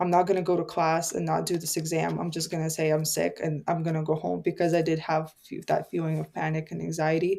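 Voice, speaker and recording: Barely pausing, a woman talks very fast. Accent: non-native. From immigrant family, grew up partly in Canada. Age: 20s. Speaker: podcast host, guest. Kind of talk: casual chat.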